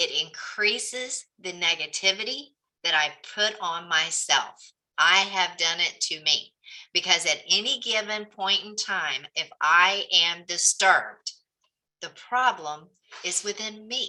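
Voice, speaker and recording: A woman's medium-pitched voice in a Southern US accent, bright and sharp in tone, fairly slow, with ordinary pitch variation and big swings in loudness. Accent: Southern twang. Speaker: real estate coach. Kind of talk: group coaching session.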